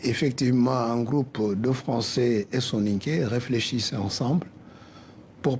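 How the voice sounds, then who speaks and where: Speaking at a fairly slow pace, a man with a West African accent has a dark, mellow, somewhat breathy voice at a medium pitch with ordinary pitch variation. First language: Soninke (speaking French). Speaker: cultural association president. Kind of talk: radio interview.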